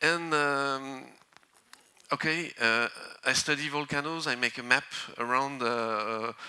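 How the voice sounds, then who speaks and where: Speaking with a French accent, a man has a medium pitch and a bright, sharp tone. His pace is fairly slow and his intonation fairly even. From northern France. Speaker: volcanologist. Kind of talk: conference talk. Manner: halting.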